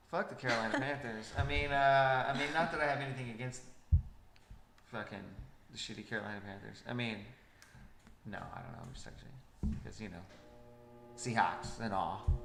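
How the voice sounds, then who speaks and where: A man with an American accent talks at a fairly quick pace and medium pitch, with lively intonation and big swings in loudness. Long, frequent pauses break his speech, and the room echo is audible. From Washington state, US. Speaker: podcast host. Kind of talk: casual chat. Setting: home kitchen. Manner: animated.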